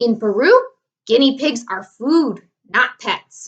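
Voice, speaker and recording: Putting on a character voice, a woman speaks in a high pitch. Her pace is fairly slow. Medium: read story. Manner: bossy, curt.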